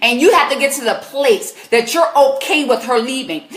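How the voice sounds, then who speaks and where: Against noticeable background noise, a woman with an American accent talks at a fairly quick pace in an animated tone with lively intonation. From US South, South Carolina. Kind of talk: live Q&A advice stream. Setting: live stream.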